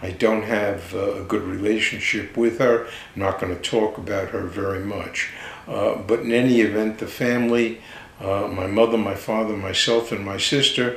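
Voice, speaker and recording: With noticeable background noise and audible room echo, a man with a New York accent speaks at a fairly low pitch and a moderate pace in a monotone, flat intonation. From New York area (Manhattan, Long Island). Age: 70s. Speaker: podcast host. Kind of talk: personal monologue. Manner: halting, many fillers.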